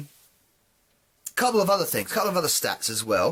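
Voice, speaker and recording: A man with a British accent, talking at a fairly quick pace. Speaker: gaming YouTuber. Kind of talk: casual vlog monologue. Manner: halting, many fillers.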